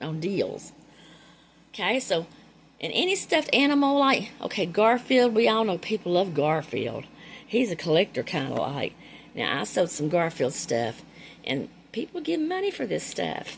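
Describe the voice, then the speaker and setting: A woman with a Carolinas accent at a medium pitch, moderate pace, very wide pitch swings, and long, frequent pauses. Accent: Southern US (Carolinas). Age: 60s. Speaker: thrift reseller, YouTuber. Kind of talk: casual haul show-and-tell. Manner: animated.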